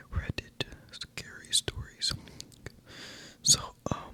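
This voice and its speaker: The speaker whispers. Noticeable background noise runs underneath. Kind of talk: ASMR horror story reading for sleep. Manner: whispered, tingly.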